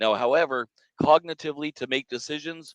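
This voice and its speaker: In an ordinary speaking voice, a man talks at a moderate pace with ordinary pitch variation, the sound dry and close with no echo over a quiet background. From Canada. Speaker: podcast co-host, automotive businessman. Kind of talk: casual podcast discussion. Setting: studio set.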